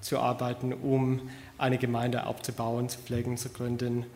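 With an English accent, a man speaks at a very slow pace and a medium pitch. Audible room echo surrounds his voice. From US, Connecticut. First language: English (speaking German). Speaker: church planter, graduate student. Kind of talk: church introduction and scripture reading. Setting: church service.

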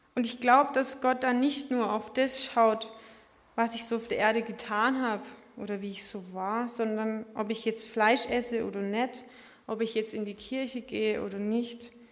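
Pitched fairly high, a woman talks at a moderate pace in a monotone, flat delivery, with audible room echo around her. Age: 20s. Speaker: lay preacher. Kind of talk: sermon. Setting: church service.

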